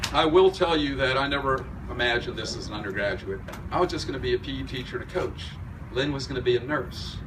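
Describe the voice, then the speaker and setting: Over noticeable background noise and audible room echo, a man talks at a very fast pace with a medium pitch. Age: 60s. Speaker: fitness club owner. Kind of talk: dedication speech.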